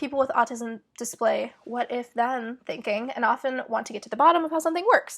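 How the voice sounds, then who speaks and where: A woman speaks at a fairly quick pace in a high voice. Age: 20s. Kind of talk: casual talk to camera. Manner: fast, many filler words.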